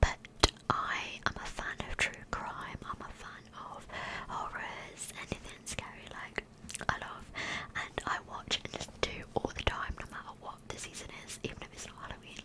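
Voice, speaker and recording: A woman whispers at a moderate pace, her loudness swinging a lot, with noticeable background noise behind her. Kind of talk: casual talk to camera, asides between stories. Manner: whispered, soft, close-up.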